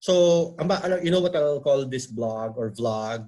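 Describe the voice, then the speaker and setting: At a very slow pace, a man talks in a somewhat breathy voice with lively intonation. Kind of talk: casual talk on video call. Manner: talkative, chatty; conyo Taglish, changing styles.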